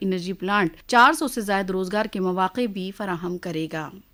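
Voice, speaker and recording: In a very clean recording with a silent background, a woman with an ordinary speaking voice talks at a moderate pace. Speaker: radio news reader. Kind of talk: radio news bulletin read.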